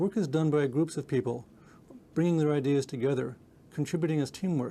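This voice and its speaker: A man talks at a fairly quick pace with ordinary pitch variation. His tone is dark and mellow. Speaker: research scientist. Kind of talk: scripted statement to camera. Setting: video shoot. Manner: fast; smooth.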